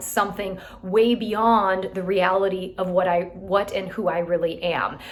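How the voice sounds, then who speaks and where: A woman is speaking here. Noticeable background noise runs under her voice. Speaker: real estate team leader. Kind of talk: motivational talk to team.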